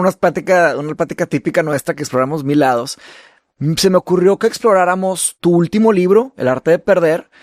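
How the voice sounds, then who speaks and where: A man speaks at a fairly quick pace in a high voice, recorded very cleanly against a silent background with a dry, close sound and no echo. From Brazil. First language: Portuguese (speaking Spanish). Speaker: podcast host and author. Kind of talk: casual conversation.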